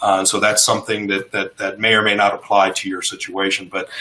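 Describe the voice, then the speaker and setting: Noticeable background noise under a man's fairly quick delivery. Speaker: educational technology specialist, former science teacher. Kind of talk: webinar presentation. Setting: online webinar. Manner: fast; halting, many fillers and restarts.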